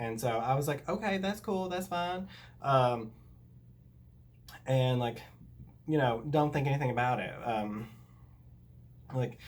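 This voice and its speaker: A man with a Southern US accent speaks at a moderate pace with lively intonation, amid audible room echo. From US South. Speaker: YouTuber. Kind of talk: story time. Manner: casual, filler-heavy.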